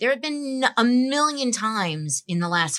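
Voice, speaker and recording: Lively intonation and a bright, sharp tone carry this New Jersey accent. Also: woman. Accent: New Jersey American. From northern New Jersey (Bergen County). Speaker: staffing firm founder. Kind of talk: casual interview.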